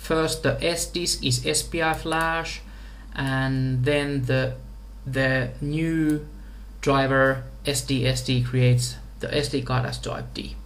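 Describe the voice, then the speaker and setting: The speaker talks at a very slow pace in a Finnish accent. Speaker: software engineer. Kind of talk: tutorial. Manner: halting.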